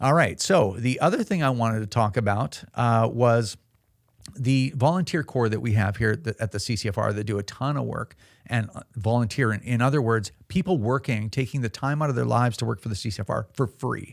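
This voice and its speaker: A man with an ordinary speaking voice, medium pitch, and a fairly quick pace, on a very clean recording with a silent background. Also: ordinary pitch variation. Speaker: podcast host and gun rights advocate. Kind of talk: casual podcast chat. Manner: conversational, with filler words.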